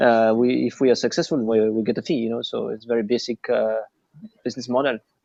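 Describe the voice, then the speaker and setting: A man with a non-native accent talks at a very fast pace and medium pitch, with fairly even intonation. His tone is dark and mellow, and the sound is dry and close, with no echo. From France and Japan. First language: French or Japanese. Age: 30s. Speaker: recruitment agency owner. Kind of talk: interview. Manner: halting, many fillers.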